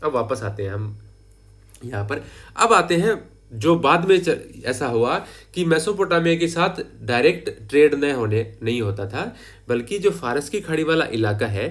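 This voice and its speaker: The man's pitch is fairly high and swings very widely as he talks at a fairly slow pace. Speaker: history teacher. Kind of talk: lecture.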